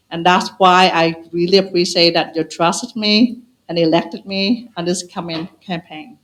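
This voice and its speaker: At a moderate pace, a woman speaks at a fairly low pitch with fairly even intonation. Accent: non-native. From Vietnam. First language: Vietnamese. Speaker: school committee candidate. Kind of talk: closing statement at candidate forum. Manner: halting.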